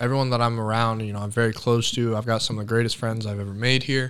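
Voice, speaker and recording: A man with a Midwestern US accent talks at a very fast pace with fairly even intonation. The recording is very clean, with a silent background. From central Indiana. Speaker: college wrestler. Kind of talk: casual chat.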